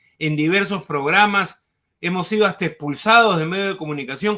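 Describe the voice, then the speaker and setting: The man speaks in a bright, sharp tone. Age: 60s. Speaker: former education minister, political analyst. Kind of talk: political interview.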